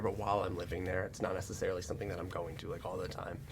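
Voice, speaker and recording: Very fast speech with audible room echo. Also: man. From US Northeast, Central New Jersey. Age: 20s. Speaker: camera crew member filling in as podcast host. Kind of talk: casual chat.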